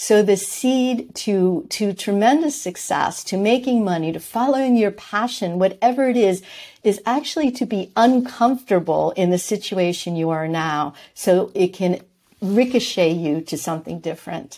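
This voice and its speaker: A woman's dark, mellow voice with an American accent, medium pitch, moderate pace and lively intonation, on a very clean recording with a silent background. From New York. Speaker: entrepreneur and author. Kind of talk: interview.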